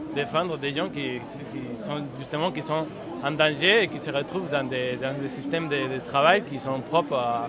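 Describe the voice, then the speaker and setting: A man with a slight Spanish accent speaks at a fairly slow pace, his pitch fairly high with ordinary variation. Audible room echo and noticeable background noise surround him. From Spain. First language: Spanish (speaking French). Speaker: union activist. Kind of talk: street interview. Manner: halting, many repetitions.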